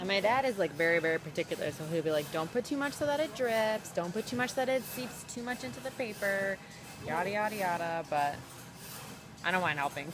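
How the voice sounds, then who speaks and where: Against music in the background, a woman at medium pitch talks at a fairly quick pace with very wide pitch swings. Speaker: model. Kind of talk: casual vlog talk to camera.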